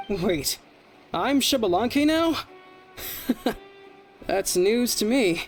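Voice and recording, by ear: In a cartoonish character voice, a man speaks at a high pitch with lively intonation. His pace is very slow, and faint music plays in the background.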